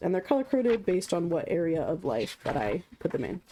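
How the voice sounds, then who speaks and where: A woman's medium-pitched voice, dark and mellow with vocal fry, comes through in a very clean recording with a silent background. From Canada. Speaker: streamer. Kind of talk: casual chat.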